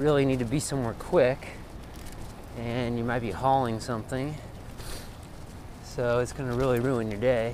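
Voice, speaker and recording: Recorded dry with no echo, the speech moves at a moderate pace over light background noise. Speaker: bike commuter vlogger. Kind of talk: casual vlog chat. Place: bicycle. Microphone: phone near.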